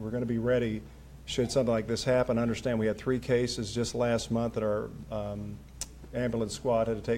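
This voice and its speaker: Amid audible room echo, a man with an Appalachian accent and a medium pitch talks at a very fast pace in monotone, flat intonation. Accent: Appalachian Kentucky. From Kentucky mountains. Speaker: local official hosting event. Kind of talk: public speech. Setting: city hall with audience.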